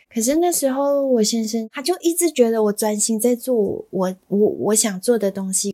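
A woman with a fairly high pitch talks at a moderate pace, somewhat breathy, with lively intonation and a dark, mellow tone. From Malaysia. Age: 30s. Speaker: bakery owner. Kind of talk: interview.

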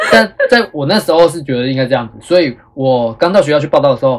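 This man talks at a very fast pace with lively intonation and a fairly high pitch. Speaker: schoolteacher and podcast host. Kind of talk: casual chat.

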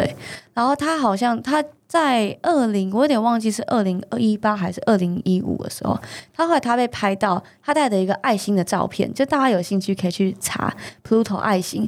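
A normal speaking voice from a woman, fairly high in pitch, with lively intonation at a fairly quick pace. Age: young. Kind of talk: interview about her cancer recovery.

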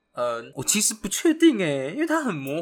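A man talks with lively intonation. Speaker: podcast co-host, university student. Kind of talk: casual chat.

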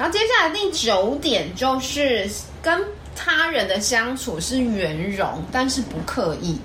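A woman speaks at a high pitch and a very slow pace with very wide pitch swings, heard through noticeable background noise and audible room echo. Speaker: podcast co-host. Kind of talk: casual chat.

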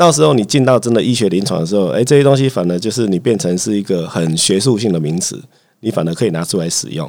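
Speaking very fast, a man uses a fairly low pitch. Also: lively intonation. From Taiwan, Chiayi (south). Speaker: family physician. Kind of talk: casual chat.

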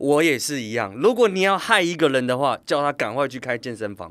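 Lively intonation marks a man's plain, everyday voice at medium pitch and a moderate pace. The recording is very clean, with a silent background. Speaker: fitness company CEO and former coach. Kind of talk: casual interview.

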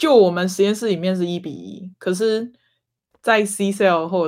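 At a fairly slow pace, the voice comes through in a very clean recording with a silent background. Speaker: graduate student. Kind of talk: casual chat.

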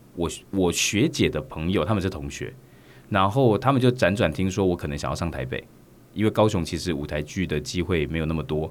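Lively intonation marks a man's very deep, low voice at a fairly quick pace. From Taiwan (Kaohsiung). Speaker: stage and TV actor. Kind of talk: interview.

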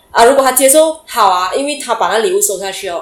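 Noticeable background noise runs through the recording. A woman speaks at a fairly quick pace. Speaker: entrepreneur. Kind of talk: interview. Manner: halting.

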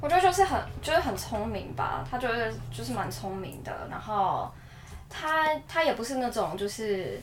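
A woman speaks at a moderate pace, her voice carrying audible room echo over noticeable background noise. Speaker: office worker abroad. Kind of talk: casual chat.

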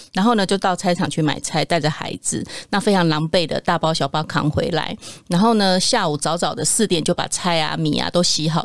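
Vocal fry runs through this woman's fairly low voice. Her pitch varies in an ordinary way. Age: 40s. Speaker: nutrition product developer, former nurse. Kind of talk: casual chat.

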